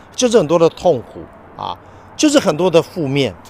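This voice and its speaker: Here a man talks with a Taiwanese accent at a fairly quick pace. His voice sits at a fairly high pitch. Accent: Taiwanese Mandarin. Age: 50s. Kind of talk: casual religious talk.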